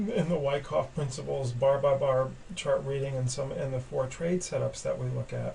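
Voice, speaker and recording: Audible room echo surrounds a man's voice. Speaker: trading educator. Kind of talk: webinar lecture. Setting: webinar. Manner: halting, many fillers.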